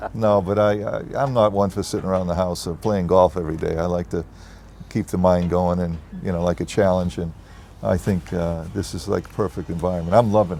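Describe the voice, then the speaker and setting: A man with a Boston accent speaks at a fairly quick pace. His pitch is very deep and low, with fairly even intonation. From US Northeast, Boston. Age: 70s. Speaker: real estate executive. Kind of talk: interview. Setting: on location at a resort development.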